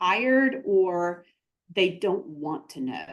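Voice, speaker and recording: A woman with a Southern US accent, medium in pitch, with lively intonation. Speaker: therapist and practice consultant. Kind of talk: interview.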